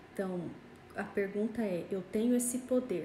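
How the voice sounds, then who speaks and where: Amid noticeable background noise and audible room echo, a woman talks at a fairly slow pace with medium pitch and fairly even intonation. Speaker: pastor. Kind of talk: Bible study livestream. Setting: Instagram live.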